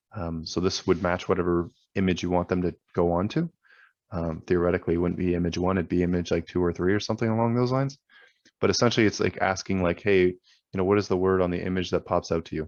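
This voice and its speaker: Against a quiet background, a man with a very deep, low pitch talks at a very fast pace with fairly even intonation. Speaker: online seller trainer. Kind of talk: tutorial. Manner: casual with many fillers.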